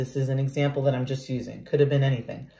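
A woman's warm, animated, somewhat breathy voice. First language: not English (English is third language). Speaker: tarot reader. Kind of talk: tarot reading. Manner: warm, animated, casual.

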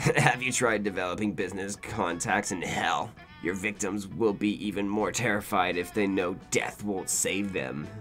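A man puts on a character voice at a fairly low pitch, speaking at a moderate pace with clear music in the background. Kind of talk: comic video game dialogue reading. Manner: gruff, blunt, bored menace.

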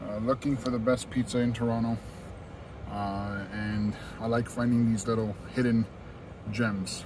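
Over noticeable background noise, a man speaks at a moderate pace with fairly even intonation, and the sound is dry with no echo. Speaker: food reviewer. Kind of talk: casual vlog chat. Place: street. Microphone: phone near.

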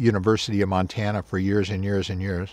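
A man with an American accent speaks at a fairly low pitch, the sound dry with no echo. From Northern California (Bay Area); California. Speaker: professional forester. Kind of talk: interview. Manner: halting, many repeated words and fillers. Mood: reflective, proud.

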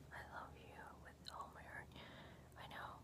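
A woman speaks softly at a fairly slow pace. Loud noise fills the background. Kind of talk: soft role-play talk to viewer. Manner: very close soft ASMR voice. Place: home room. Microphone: phone near.

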